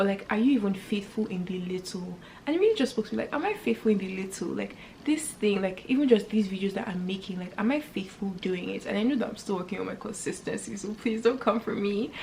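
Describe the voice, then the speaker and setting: Over noticeable background noise, a woman talks very fast in an animated tone, at a medium pitch with ordinary pitch variation. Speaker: faith and lifestyle YouTuber. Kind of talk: casual vlog talk to camera.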